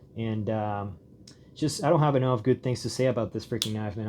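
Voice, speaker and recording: Using fairly even intonation, a man with a non-native accent speaks at medium pitch. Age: 30s. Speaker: gear reviewer. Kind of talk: product review. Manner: casual, hesitant with many fillers.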